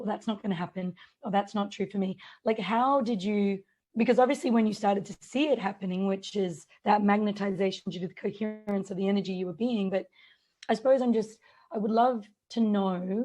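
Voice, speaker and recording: Against a quiet background, a woman speaks fairly quickly in a somewhat breathy, medium-pitched voice, dark and mellow in tone, with fairly even intonation. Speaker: podcast host. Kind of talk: interview. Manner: conversational.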